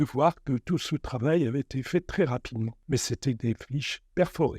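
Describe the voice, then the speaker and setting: In a very clean recording with a silent background and a dry, close sound with no echo, a man speaks at a moderate pace in a dark, mellow tone with lively intonation. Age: 80s+. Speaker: retiree interviewee. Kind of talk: interview testimony.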